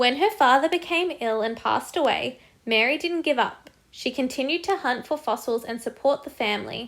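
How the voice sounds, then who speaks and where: Over a very clean recording with a silent background, a woman with an Australian accent speaks high and at a moderate pace, with lively intonation and hardly any pauses. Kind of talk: children's picture book read-aloud.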